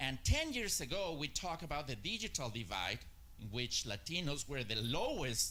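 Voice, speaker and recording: Audible room echo surrounds a man speaking at a moderate pace. His medium-pitched voice has a bright, sharp tone. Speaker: marketing strategist. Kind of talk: conference talk. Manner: hesitant, many filler uhs.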